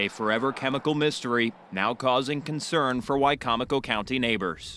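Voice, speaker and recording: This man has an unremarkable speaking voice at a medium pitch with ordinary pitch variation. He talks at a fairly quick pace with very even loudness. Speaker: television news anchor and reporter. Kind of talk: field reporter package narration. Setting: TV news broadcast.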